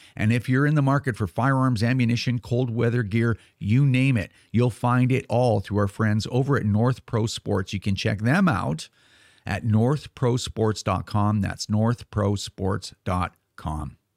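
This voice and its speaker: Heard in a very clean recording with a silent background and a dry, close sound with no echo, a man with a plain, everyday voice speaks at a fairly slow pace and medium pitch. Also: ordinary pitch variation. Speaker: podcast host and gun rights advocate. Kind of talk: casual podcast chat. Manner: conversational, with filler words.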